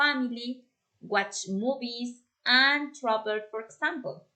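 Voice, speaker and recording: A woman's voice sits at a high pitch with a bright, sharp tone. She speaks at a very slow pace. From Colombia, Bogota. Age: 30s. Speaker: language student. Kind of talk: class presentation. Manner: halting.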